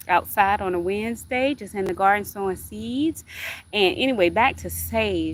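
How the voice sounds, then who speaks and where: With a Southern US accent, a woman speaks at a moderate pace. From US South. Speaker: gardening livestreamer. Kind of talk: casual livestream chat. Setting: outdoors in garden. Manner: chatty, warm.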